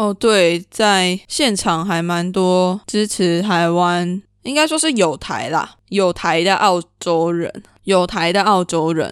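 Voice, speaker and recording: Recorded very cleanly with a silent background, a woman speaks at a very slow pace with medium pitch and ordinary pitch variation. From Taiwan. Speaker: podcast host. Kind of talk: solo podcast monologue.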